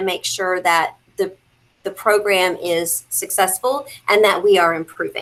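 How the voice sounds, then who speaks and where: With a plain, everyday voice, a woman speaks at a moderate pace and with ordinary pitch variation. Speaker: school district mentoring program coordinator. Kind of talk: virtual work meeting presentation.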